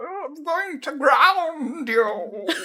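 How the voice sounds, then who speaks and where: The put-on character voice sits at a high pitch. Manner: pretend grandmotherly scolding.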